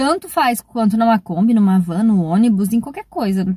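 A woman's somewhat breathy, dark, mellow voice at a moderate pace, with ordinary pitch variation, a dry sound with no echo and a quiet background. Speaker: travel vlogger. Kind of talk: casual vlog chat. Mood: venting, frustrated but calm. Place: car. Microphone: phone near.

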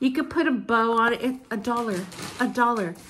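Fairly even intonation over light background noise. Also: woman. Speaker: vlogger. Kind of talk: casual vlog haul. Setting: at home, filming herself with mom nearby. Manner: chatty, informal. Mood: cheerful, delighted. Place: home room. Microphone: phone near.

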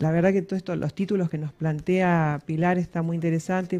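Fairly low in pitch, a woman speaks at a moderate pace in a dark, mellow tone. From Argentina. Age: 50s. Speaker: psychologist; guest. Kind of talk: radio interview. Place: studio. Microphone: headset.

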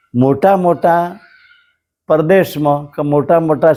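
Ordinary pitch variation marks a man's speech, delivered in a dark, mellow tone. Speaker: storyteller vlogger. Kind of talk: storytelling monologue.

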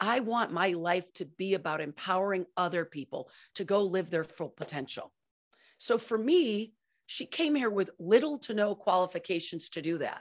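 Lively intonation marks a woman's medium-pitched voice at a moderate pace over a quiet background. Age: 50s. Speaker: company founder and culture consultant; podcast co-host. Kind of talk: interview. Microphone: studio mic.

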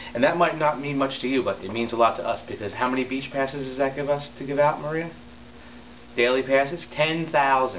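A fairly high-pitched man with an American accent at a fairly quick pace, over noticeable background noise. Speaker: town public relations officer. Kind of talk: casual video blog. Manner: rambling, filler-heavy.

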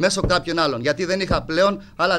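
A man speaks at a moderate pace in a bright, sharp, animated tone. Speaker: football club president. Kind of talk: heated confrontation at press meeting; press conference statement. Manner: abrupt and aggressive; animated, repetitive. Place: hall. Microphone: podium.

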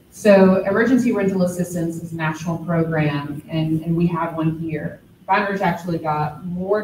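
Audible room echo and light background noise surround a woman's fairly low voice. She keeps a moderate pace and fairly even intonation. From Baton Rouge, Louisiana; Louisiana. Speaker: city community development official, panel moderator; panel moderator. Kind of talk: panel discussion. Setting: gallery with live audience. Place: hall. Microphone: podium.

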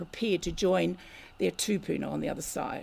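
A woman talks at a moderate pace with vocal fry and ordinary pitch variation. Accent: New Zealand. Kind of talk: lecture. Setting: community hall with audience.

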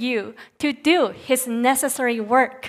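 Her high-pitched voice moves at a very slow pace with ordinary pitch variation. This woman is recorded against a quiet background. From Japan, Nagoya; Japan. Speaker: Bible college student preacher; preacher. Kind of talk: sermon. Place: church. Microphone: headset.

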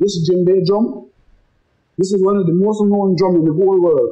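At a moderate pace, a man talks with a high pitch and a dark, mellow tone against a quiet background. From Belize, Dangriga; Belize. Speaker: musician. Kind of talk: storytelling interview. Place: beach.

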